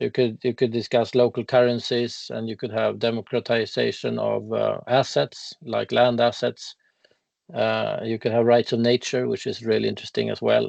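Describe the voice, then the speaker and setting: A man with a Swedish accent at a moderate pace. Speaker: legal expert on ecocide law. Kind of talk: casual interview conversation. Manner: halting.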